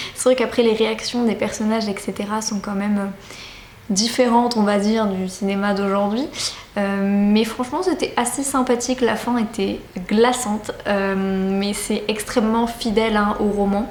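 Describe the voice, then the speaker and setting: With audible room echo and noticeable background noise, a woman speaks at a moderate pace with fairly high pitch and fairly even intonation. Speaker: book vlogger. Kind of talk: casual vlog talk to camera. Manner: hesitant with many fillers.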